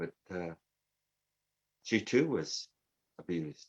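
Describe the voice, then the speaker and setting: This is a man speaking. His intonation is lively. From Canada. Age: 60s. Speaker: twelve-step recovery speaker. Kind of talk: recovery testimony. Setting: virtual convention.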